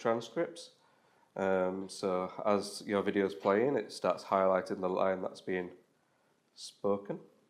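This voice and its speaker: A man speaks with a strong Yorkshire accent. His pitch is fairly low and his pace fairly slow. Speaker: web developer giving a talk. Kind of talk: meetup tech talk. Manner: casual with frequent fillers.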